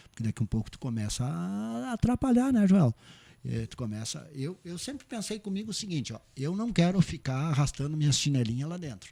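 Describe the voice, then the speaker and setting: Somewhat breathy, a man speaks at a fairly quick pace with a fairly high pitch and a dark, mellow tone. His pitch swings very widely, and his loudness shifts a lot. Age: 60s. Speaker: cooperative bank president. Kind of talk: podcast interview. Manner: halting, many repetitions and fillers.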